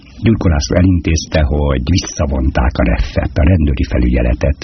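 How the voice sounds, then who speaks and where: A man's voice sits at a very deep, low pitch with lively intonation. He talks at a fairly quick pace over noticeable background noise. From Hungary, Budapest. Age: 60s. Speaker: poet. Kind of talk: interview.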